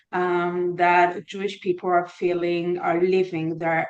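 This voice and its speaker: At a very slow pace, a woman speaks with a fairly low pitch in an Israeli accent. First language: Hebrew. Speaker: therapist. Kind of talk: interview. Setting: podcast. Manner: halting.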